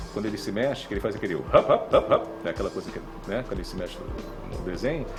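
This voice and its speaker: Over music in the background, a man talks at a very fast pace, with big swings in loudness. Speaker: voice actor (dubbing). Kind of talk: interview answer about dubbing.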